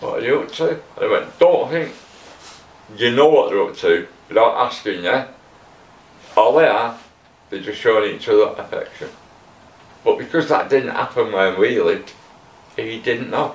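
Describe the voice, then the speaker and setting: A man with a Manchester accent talks at a moderate pace, with long, frequent pauses. Noticeable background noise and audible room echo are present. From northern England, Middleton near Manchester. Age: 60s. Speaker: former addict and tattoo artist. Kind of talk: interview testimony.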